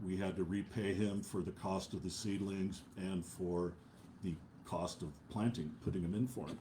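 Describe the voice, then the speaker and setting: At a fairly slow pace, a man with a very deep, low pitch speaks in a dark, mellow tone. His intonation is fairly even, and audible room echo surrounds him. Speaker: preacher. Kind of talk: sermon. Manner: halting, many filler uhs.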